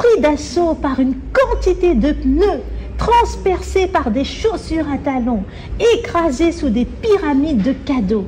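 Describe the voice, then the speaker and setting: Very slow speech from a woman, noticeable background noise throughout. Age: 30s. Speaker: novelist. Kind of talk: reading aloud. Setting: library event with audience.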